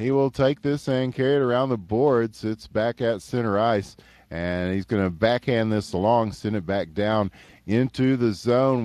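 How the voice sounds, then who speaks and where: A man with a Texan accent speaks at a fairly slow pace in a medium pitch, his voice dry and close with no echo against a quiet background. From East Texas. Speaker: esports hockey commentator. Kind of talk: live commentary. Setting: live stream. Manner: animated.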